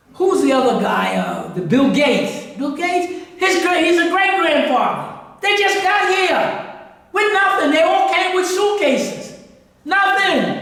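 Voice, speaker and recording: The speaker has an American accent and a fairly slow pace. Noticeable background noise runs underneath. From New York City. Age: 80s+. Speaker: history lecturer. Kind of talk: lecture. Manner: halting.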